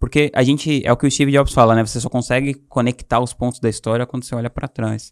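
Delivered at a very fast pace with hardly any pauses, a man's medium-pitched voice stays monotone and flat, with a dry, close sound with no echo. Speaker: entrepreneur. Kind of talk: casual storytelling interview.

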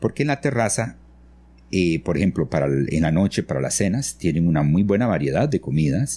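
A man's very deep, low voice with a dark, mellow tone and vocal fry, very wide pitch swings, very even loudness and a moderate pace. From Costa Rica, grew up in San Vito near Panama border. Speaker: architect and engineer. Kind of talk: interview. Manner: halting, many fillers and repetitions.

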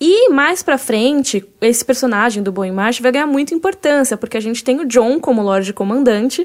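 The recording is very clean and the background silent. Pitch leaps up and down very widely. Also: woman. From Brazil, Cuiabá. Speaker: podcast host. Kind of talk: casual chat.

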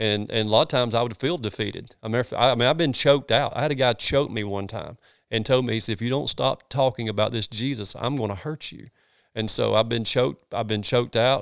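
On a very clean recording with a silent background, a man with a medium pitch talks at a very fast pace with ordinary pitch variation. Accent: Southern US. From US South, North Georgia. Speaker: pastor. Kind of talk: casual interview conversation. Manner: animated.

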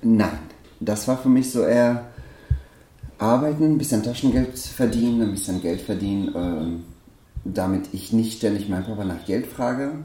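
A man speaks at a fairly slow pace with long, frequent pauses and ordinary pitch variation. His pitch is medium, and audible room echo surrounds the voice. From Afghanistan. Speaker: hairdresser and salon owner. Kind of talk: interview, life story. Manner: hesitant, many fillers.

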